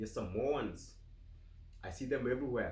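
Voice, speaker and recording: A somewhat breathy man's voice with audible room echo. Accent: Kenyan. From Kenya. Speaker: vlogger. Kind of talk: casual interview. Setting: home office.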